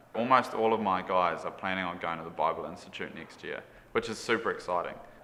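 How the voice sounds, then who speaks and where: A man with a very deep, low voice speaks in a New Zealand accent, keeping his intonation fairly even. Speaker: camp unit leader, Bible student. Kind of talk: testimony. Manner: halting, many fillers.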